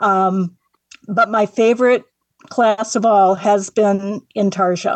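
Speaking with an American accent, a woman uses a medium pitch, fairly even intonation and very even loudness. Her pace is very slow, and the sound is dry and close with no echo. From Northwest Indiana. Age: 60s. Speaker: woodworking artist, retired secretary. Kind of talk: radio interview.

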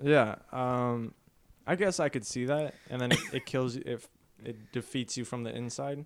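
This man has a normal speaking voice, pitched at a medium level for him, moving at a moderate pace with ordinary pitch variation. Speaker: podcast host. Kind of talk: casual chat among friends.

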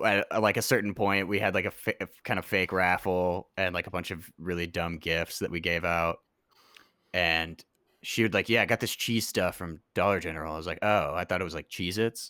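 A man with an American accent speaks at a fairly quick pace in a very deep, low voice with a bright, sharp tone and fairly even intonation. The recording is very clean with a silent background and a dry, close sound with no echo. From US South, New Orleans and Memphis. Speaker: musician. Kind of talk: casual chat.

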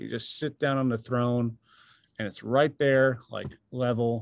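This man has an ordinary speaking voice at medium pitch, speaking with an American accent at a fairly slow pace, in a very clean recording with a silent background. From New York, Long Island. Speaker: touring drummer. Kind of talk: casual chat.

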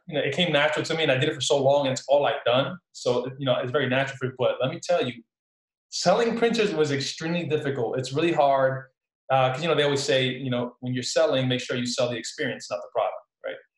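A man talks very fast with a New Jersey accent, his voice fairly high-pitched and his pitch variation ordinary. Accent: New Jersey American. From Newark, New Jersey; Puerto Rican family. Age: young. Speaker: entrepreneur, salesman. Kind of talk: casual interview chat.

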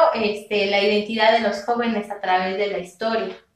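A woman's fairly high-pitched voice carries audible echo from the room. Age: 20s. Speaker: history graduate and youth activist. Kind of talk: interview. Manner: halting, many fillers.

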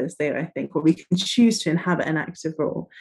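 This woman's voice is fairly low in pitch. Her pitch varies in an ordinary way. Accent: Scottish. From northeast Scotland. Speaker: trainee therapist. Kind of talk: interview.

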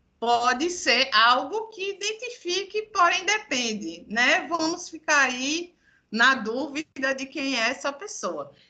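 Over a quiet background, a woman with a high pitch and a bright, sharp tone projects her raised voice at a very slow pace, her pitch swinging very widely. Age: 30s. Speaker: communications professional and social media personality. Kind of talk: casual chat. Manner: animated.

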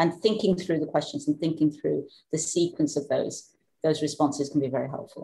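This woman's voice is very deep and low in pitch, dark and mellow, somewhat breathy, with fairly even intonation and a fairly quick pace. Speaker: psychologist and author. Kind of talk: interview conversation. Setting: remote call from Norway.

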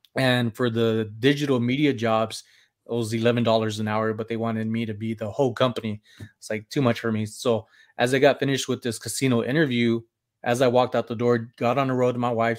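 The speech races along at a very fast pace in a flat, monotone delivery. The recording is very clean, with a silent background. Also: man, medium pitch for a man. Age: 40s. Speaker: reseller. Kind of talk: casual chat. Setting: live stream.

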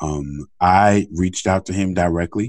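Against a quiet background, a man speaks in a normal speaking voice at a fairly slow pace with ordinary pitch variation, the sound dry and close with no echo. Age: 40s. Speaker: podcast host. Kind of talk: casual interview.

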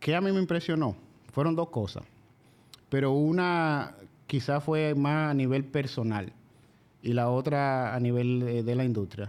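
A man with a Dominican accent speaks at a fairly slow pace with long, frequent pauses. His pitch is fairly high with ordinary variation, and his loudness is very even. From Dominican Republic, La Vega province (rural). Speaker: machine shop owner. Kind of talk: casual interview.

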